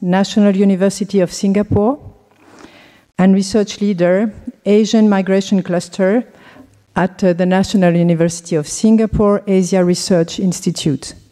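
A woman with a French accent speaks at a moderate pace in a medium pitch, her intonation fairly even, over noticeable background noise. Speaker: anthropology professor. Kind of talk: conference introduction.

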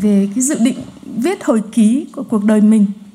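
A woman speaks at a very slow pace with ordinary pitch variation. There is noticeable background noise. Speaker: sociologist. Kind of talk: conference talk. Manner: hesitant with fillers.

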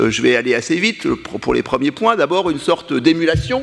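The voice moves at a moderate pace, its intonation lively and marked by vocal fry. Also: man. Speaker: scholar of Japan. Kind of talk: round table discussion.

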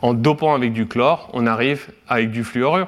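This man speaks at a medium pitch, with ordinary variation in his pitch. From France, Brittany (Guingamp, Côtes d'Armor). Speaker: chemistry researcher. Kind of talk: scientific lecture. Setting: seminar with audience. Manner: hesitant with frequent fillers.

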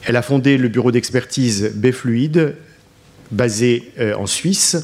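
Noticeable background noise sits behind a man speaking fairly slowly at a medium pitch. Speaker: professor and session moderator. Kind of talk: formal moderating. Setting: conference hall with audience. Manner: hesitant, formal.

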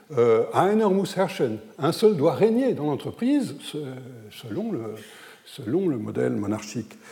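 A man at a very slow pace, with long, frequent pauses, very wide pitch swings and audible room echo. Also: fairly high pitch for a man. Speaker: historian speaking at an academic conference. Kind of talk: conference lecture. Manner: hesitant, many fillers.

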